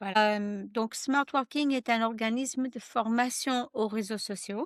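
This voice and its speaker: A fairly high-pitched woman at a fairly slow pace with fairly even intonation, in a very clean recording with a silent background and a dry, close sound with no echo. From United States. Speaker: social selling trainer and author. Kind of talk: podcast interview. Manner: hesitant, with fillers.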